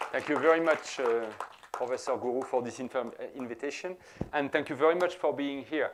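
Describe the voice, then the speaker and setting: Over noticeable background noise, a man with a French accent talks at a fairly quick pace with a fairly high pitch and ordinary pitch variation. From France. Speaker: professor. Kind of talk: lecture.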